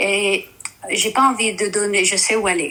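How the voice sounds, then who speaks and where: A woman at medium pitch with a non-native accent, over noticeable background noise. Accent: non-native French, rusty. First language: Dutch (speaking French). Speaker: caller. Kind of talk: testimony. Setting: live stream call. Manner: halting, hesitant.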